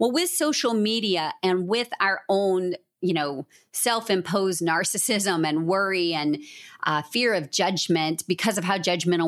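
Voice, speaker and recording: A normal speaking voice from a woman, on a very clean recording with a silent background. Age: 40s. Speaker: author and business coach. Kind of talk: casual chat.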